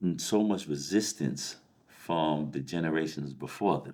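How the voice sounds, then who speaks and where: A man speaks at a fairly slow pace in a very deep, low pitch with vocal fry. His tone is dark and mellow. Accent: American. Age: 50s. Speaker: life coach. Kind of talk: casual chat. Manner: halting, many fillers and repeats.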